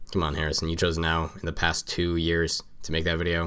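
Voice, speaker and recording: Over background music, a man talks very fast in a very deep, low voice. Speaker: music reviewer. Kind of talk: album review video. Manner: casual, halting with fillers.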